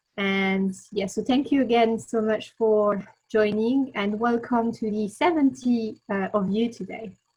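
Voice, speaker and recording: With a French accent, a woman talks at a fairly slow pace in a fairly high, somewhat breathy voice with a dark, mellow tone and fairly even intonation. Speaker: webinar host. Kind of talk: webinar presentation. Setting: video call webinar.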